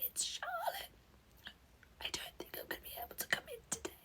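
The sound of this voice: A woman whispers in a put-on character voice, croaky and hoarse. She keeps a moderate pace.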